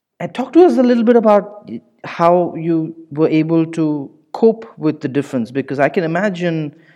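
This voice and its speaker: This man talks at a moderate pace with lively intonation and a high pitch. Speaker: podcast host. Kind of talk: interview, conversational.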